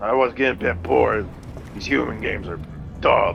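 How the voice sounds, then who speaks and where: A man talks at a fairly quick pace in a raspy, put-on character voice. Background noise is clearly audible. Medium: actual play.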